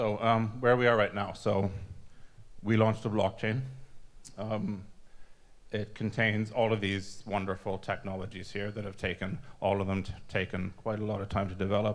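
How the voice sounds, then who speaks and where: A man speaks at a fairly low pitch with monotone, flat intonation. Long, frequent pauses break up his speech, and room echo is audible. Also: moderate pace. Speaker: software developer giving conference talk. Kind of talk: conference presentation. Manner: halting, many fillers and restarts.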